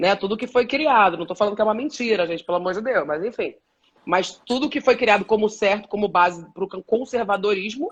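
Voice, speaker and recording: Her pitch fairly high and her intonation lively, a woman is speaking. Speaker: journalist and body positivity activist. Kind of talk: live stream panel discussion. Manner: fast.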